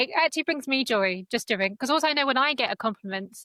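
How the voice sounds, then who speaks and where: At a very fast pace, a woman speaks at high pitch with lively intonation and a bright, sharp tone. The sound is dry and close with no echo. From northeast England. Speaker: podcast host. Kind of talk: casual interview chat.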